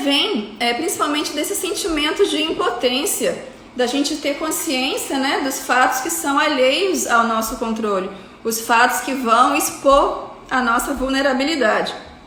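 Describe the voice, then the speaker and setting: With a high pitch and lively intonation, a woman uses a raised, projected voice at a fairly slow pace amid noticeable background noise and audible room echo. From Rio de Janeiro, Brazil. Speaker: psychiatrist. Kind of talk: lecture. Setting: live stream.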